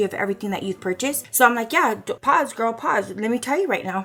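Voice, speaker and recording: A woman speaks over noticeable background noise. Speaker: lifestyle vlogger. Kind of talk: casual vlog chat. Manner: fast; animated.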